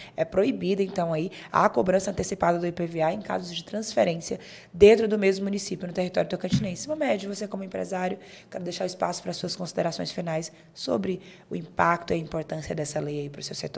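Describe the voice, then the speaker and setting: This woman talks very fast at a medium pitch with vocal fry, ordinary pitch variation and big swings in loudness. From Bahia, Brazil. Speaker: podcast host. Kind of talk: show sign-off; talk show interview.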